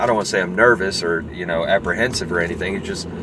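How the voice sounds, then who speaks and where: There is noticeable background noise in this clip. The sound is dry, with no echo. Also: man. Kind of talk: casual vlog chat. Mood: reflective, personal. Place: car. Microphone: phone near.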